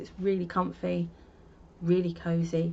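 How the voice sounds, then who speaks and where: A woman speaks in a fairly low voice. It sounds somewhat breathy. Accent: London. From London, North London. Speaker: crochet podcaster. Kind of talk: casual chat. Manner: casual, chatty.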